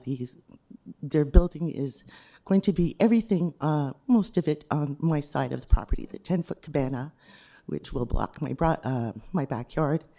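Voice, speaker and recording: Someone puts on a raspy character voice at a low-to-middle pitch, speaking at a moderate pace. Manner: stumbling, hesitant.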